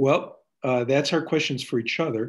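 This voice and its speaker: With a plain, everyday voice, a man keeps a moderate pace and ordinary pitch variation against a quiet background. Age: 60s. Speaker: community organizer and workshop leader. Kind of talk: panel discussion.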